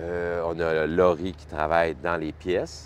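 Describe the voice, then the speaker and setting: Against a quiet background, a man speaks. His voice is very deep and low. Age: 60s. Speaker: health and safety committee member at a trucking company. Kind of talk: casual interview.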